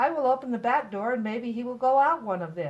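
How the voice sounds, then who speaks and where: At a fairly quick pace, a woman uses a high-pitched, put-on character voice. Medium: read story.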